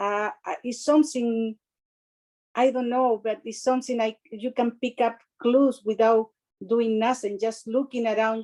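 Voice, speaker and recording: Heard in a dry, close sound with no echo, a woman with a strong non-native accent speaks in a dark, mellow tone at a fairly high pitch. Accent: heavy foreign. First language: not English. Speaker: respiratory therapist. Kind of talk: webinar discussion. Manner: halting.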